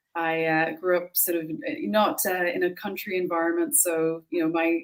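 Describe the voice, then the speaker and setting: A woman with a Dublin accent talks at a fairly quick pace in a fairly low voice. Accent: Irish, Dublin. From Ireland, Dublin city. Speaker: entrepreneur. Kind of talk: interview.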